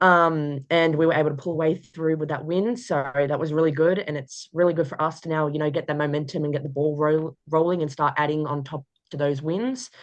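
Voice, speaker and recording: With a strong Australian accent, a woman speaks at a fairly quick pace with hardly any pauses. Her pitch is very deep and low, and her intonation is fairly even. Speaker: college basketball player. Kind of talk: interview. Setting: video call. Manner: hesitant, many fillers.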